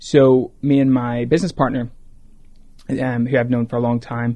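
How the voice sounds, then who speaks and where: Against a quiet background, a man talks at a fairly quick pace. His medium-pitched voice has a dark, mellow tone and fairly even intonation. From Ireland. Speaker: startup founder, former investment banker. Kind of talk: interview.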